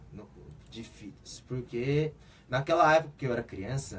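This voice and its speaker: With a Korean accent, a man talks at a moderate pace in a medium, somewhat breathy voice with lively intonation. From South Korea, raised in Brazil from age seven. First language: Korean (speaking Portuguese). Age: 20s. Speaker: football player. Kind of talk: radio interview. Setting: radio studio.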